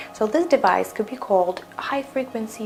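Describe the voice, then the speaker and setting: With a Russian accent, a woman speaks at a fairly slow pace and medium pitch, using lively intonation. Music plays in the background. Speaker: skincare instructor. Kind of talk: tutorial. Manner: halting.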